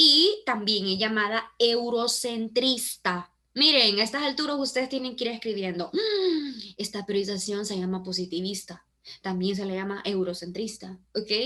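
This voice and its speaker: In a plain, everyday voice, a woman speaks at a fairly high pitch and moderate pace with ordinary pitch variation. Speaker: teacher. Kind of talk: online class lecture.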